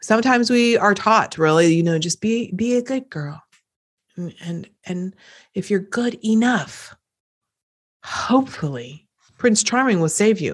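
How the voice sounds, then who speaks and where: On a very clean recording with a silent background, a woman with a slight East Coast US accent speaks at a fairly slow pace in an animated, upbeat tone, with medium pitch, lively intonation and long, frequent pauses. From US East Coast. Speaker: podcast host, business and personal growth coach. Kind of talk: solo motivational talk. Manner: animated, upbeat, conversational.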